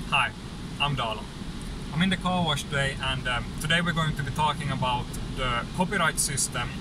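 Loud background noise sits behind a man speaking at a fairly quick pace. The sound itself is dry with no echo. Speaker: car tech video host. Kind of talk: casual vlog chat. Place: car. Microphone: phone near.

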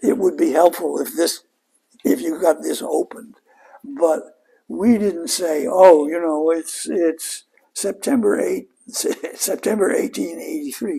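Against a quiet background, a man speaks at a very slow pace with big swings in loudness. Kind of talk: interview answer. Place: home room. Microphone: lapel.

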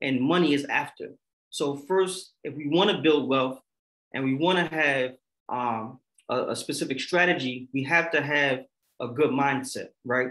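A bright, sharp tone with ordinary pitch variation, delivered at a fairly slow pace. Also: man, fairly high pitch for a man. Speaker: financial literacy panelist; panelist. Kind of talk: virtual workshop panel. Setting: video call. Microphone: webcam.

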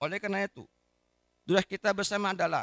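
In a dry sound with no echo and a quiet background, a man speaks at a very fast pace. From Indonesia. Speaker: regional government official. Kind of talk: formal speech reading. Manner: formal. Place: hall. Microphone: podium.

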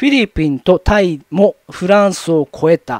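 The sound is dry and close with no echo as a man speaks at a fairly slow pace. His pitch is high and his intonation lively. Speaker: YouTube commentator. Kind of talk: solo commentary reading paper. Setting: solo video recording. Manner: rambling, many fillers.

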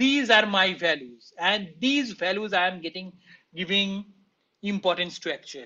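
This man has a high pitch and a bright, sharp tone. He speaks at a moderate pace. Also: ordinary pitch variation.

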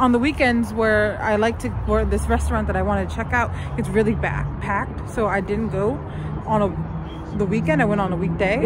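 Over noticeable background noise, a woman talks at a fairly quick pace, with a dry sound and no echo. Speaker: vlogger. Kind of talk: casual vlog chat. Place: street. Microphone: phone near.

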